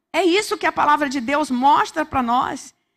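A woman speaks with a Brazilian accent. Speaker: preacher. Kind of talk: sermon. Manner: urgent, exhorting, repeating words for emphasis; fervent, direct address to listeners. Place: church. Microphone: handheld.

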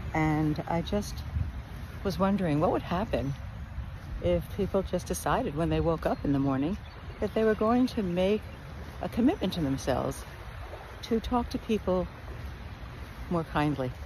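A woman at a moderate pace with long, frequent pauses and very even loudness, in a dry sound with no echo and noticeable background noise. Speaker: speaker. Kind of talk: casual reflective vlog talk. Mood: calm, reflective, warm. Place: beach. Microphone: phone near.

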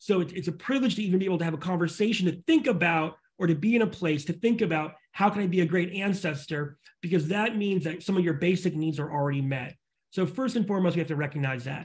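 A man talks very fast in a high voice. His pitch varies in an ordinary way. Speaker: futurist and author; guest. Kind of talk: interview conversation; interview answer. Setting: video call. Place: home room. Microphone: video call.

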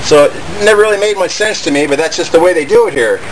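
Noticeable background noise sits behind a man who speaks fairly quickly. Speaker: bushcraft channel host. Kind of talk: tutorial. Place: garden. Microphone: camera far.

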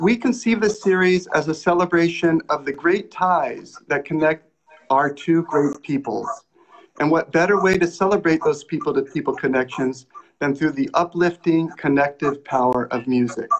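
Man at a moderate pace, very even loudness and ordinary pitch variation, light background noise. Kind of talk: formal welcome address. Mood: warm, earnest. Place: home room. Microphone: video call.

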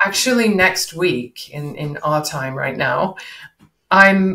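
A woman's low-pitched voice with a bright, sharp tone, ordinary pitch variation and slow pace, in audible room echo

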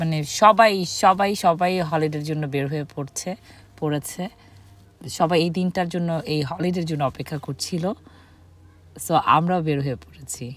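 A woman speaks at a fairly low pitch with ordinary pitch variation. The sound is dry, with no echo. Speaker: passenger vlogger. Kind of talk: casual vlog chat. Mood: cheerful, relieved. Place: car.

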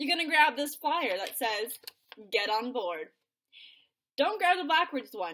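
At a moderate pace, a woman projects a raised voice with a bright, sharp tone over light background noise. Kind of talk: playful instructional vlog. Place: home room. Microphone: webcam.

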